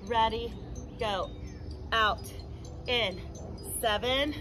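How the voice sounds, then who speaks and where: Very slow speech over music in the background. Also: woman. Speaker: fitness instructor. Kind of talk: workout instruction with counting. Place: garden.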